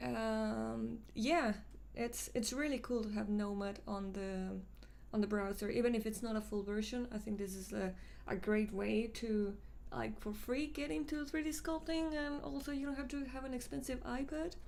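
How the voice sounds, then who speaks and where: Speaking with a Mexican accent, a woman talks at a moderate pace with a fairly high pitch and lively intonation. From Mexico City, Mexico; Mexico. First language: Spanish. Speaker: 3D sculpting artist and live streamer; live streamer. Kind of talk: casual live stream chat and tutorial. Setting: live stream. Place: home room.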